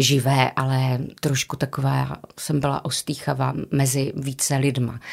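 A woman's very deep, low pitch in a monotone, flat intonation at a very even loudness. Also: fairly slow pace. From Moravian-Silesian region, Czechia (Karviná, Havířov). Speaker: stage actress and drama teacher. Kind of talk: casual interview.

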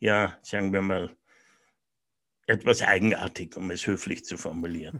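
A silent background on a very clean recording, with pitch that varies in a normal way. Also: man. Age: 70s. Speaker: business coach. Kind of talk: interview.

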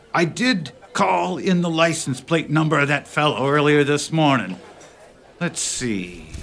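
A gruff, put-on character voice from a man, fairly high in pitch with very wide pitch swings, at a moderate pace. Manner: gruff, irritated.

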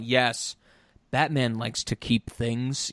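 Using a put-on character voice at medium pitch, a man speaks at a fairly slow pace. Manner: deadpan.

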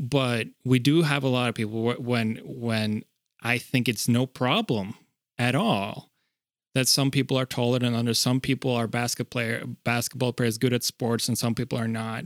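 On a very clean recording with a silent background and a dry, close sound with no echo, a man speaks in an unremarkable speaking voice at a moderate pace and medium pitch, with fairly even intonation. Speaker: podcast co-host. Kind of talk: casual podcast conversation.

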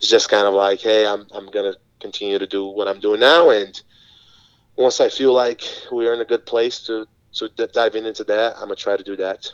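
A man with a Portuguese accent, medium in pitch, with fairly even intonation at a fairly quick pace, in a dry, close sound with no echo. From Brazil. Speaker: physical education teacher. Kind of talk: casual interview chat.

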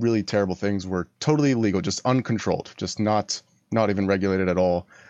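A man with a plain, everyday voice speaks at a fairly quick pace and fairly low pitch, with ordinary pitch variation, in a dry, close recording with no echo and a quiet background. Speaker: caller, listener. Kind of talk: phone-in debate. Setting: call-in over voice chat.

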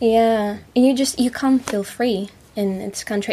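Her tone is dark and mellow, and her pitch is fairly high for a woman. The intonation is monotone and flat, and the voice is somewhat breathy. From Russia, Moscow area. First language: Russian. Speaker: musician and actress. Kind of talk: casual chat.

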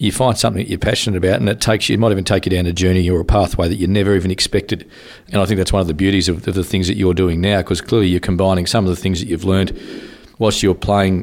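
Speaking very fast with an Australian accent, a man with a very deep, low pitch keeps his intonation fairly even. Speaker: podcast host. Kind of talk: interview, casual conversation.

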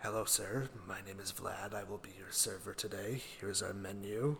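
A man uses a put-on character voice at a fairly low pitch. Clear background noise is heard. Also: moderate pace. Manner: non-stereotypical vampire voice, polite server.

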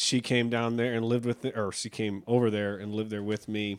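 On a very clean recording with a silent background, a man talks at a moderate pace in a fairly low, monotone voice with flat intonation. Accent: American. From Buffalo, New York. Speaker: teacher. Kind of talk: casual interview chat.

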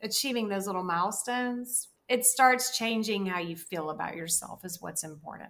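A woman's medium pitch and bright, sharp tone, with a Southern US accent. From US South. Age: 50s. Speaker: dietitian and writer. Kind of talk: casual chat.

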